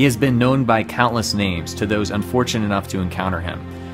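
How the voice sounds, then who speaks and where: The delivery is dramatic, with music playing in the background. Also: man. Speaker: gaming streamer. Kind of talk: dramatic lore narration.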